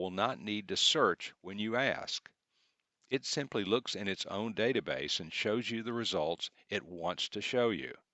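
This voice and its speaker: A man with a Southern US accent, fairly low-pitched, at a fairly slow pace. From US South. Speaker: computer class instructor. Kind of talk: tutorial.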